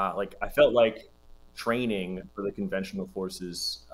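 Speaking at a fairly slow pace, a man talks with an American accent. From Compton, California; California. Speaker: army combat medic veteran and academic. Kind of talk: casual interview chat. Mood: relaxed, upbeat. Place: home room.

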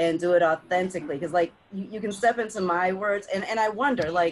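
Light background noise accompanies a woman at medium pitch. She keeps a fairly even intonation and a fairly quick pace. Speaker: community conversation host. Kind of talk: casual chat. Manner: loud. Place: home room. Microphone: video call.

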